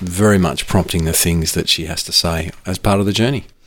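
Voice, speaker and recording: A man with an Australian accent, very deep and low in pitch, at a fairly quick pace. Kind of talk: casual chat. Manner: animated.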